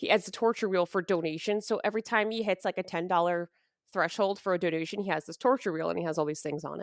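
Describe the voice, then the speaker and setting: Animated and very fast, a woman talks with a New York accent in a medium pitch with ordinary pitch variation. The sound is dry and close with no echo, on a very clean recording with a silent background. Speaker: streamer. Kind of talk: casual interview chat.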